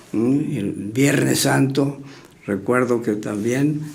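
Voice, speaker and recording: The room echo is audible. A man with a medium-pitched voice speaks at a fairly slow pace. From Mexico, Querétaro. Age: 90s. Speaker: retired surgeon. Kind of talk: interview reminiscence. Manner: halting, many fillers.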